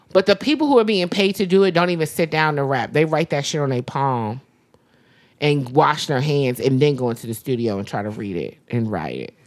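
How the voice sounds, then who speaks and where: Over a very clean recording with a silent background, a woman with an American accent speaks at a fairly quick pace in a very deep, low voice, her pitch making very wide swings. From US East Coast. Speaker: podcast co-host. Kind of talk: casual chat.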